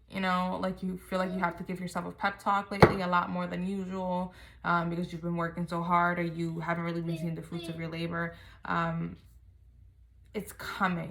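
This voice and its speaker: A quiet woman's voice, fairly low and monotone with flat intonation, at a fairly quick pace amid noticeable background noise. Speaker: tarot reader. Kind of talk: tarot reading. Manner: quiet, kept low.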